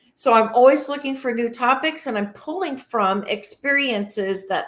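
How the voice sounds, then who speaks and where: Speaking at a moderate pace, a woman uses a high voice with a Midwestern accent. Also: hardly any pauses. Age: 50s. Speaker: podcast host, retirement strategist. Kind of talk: solo podcast talk.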